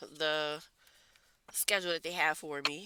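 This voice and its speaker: With a bright, sharp tone, a woman speaks at a fairly low pitch using fairly even intonation. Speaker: tarot reader. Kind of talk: collective tarot reading.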